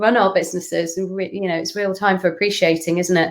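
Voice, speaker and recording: In a northern English accent, a woman talks at a moderate pace and a medium pitch. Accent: northern English twang. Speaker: brand consultant. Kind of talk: interview questions.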